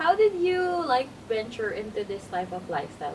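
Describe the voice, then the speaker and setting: Noticeable background noise sits behind a woman who speaks at a fairly quick pace with lively intonation. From Philippines. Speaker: podcast host. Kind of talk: interview.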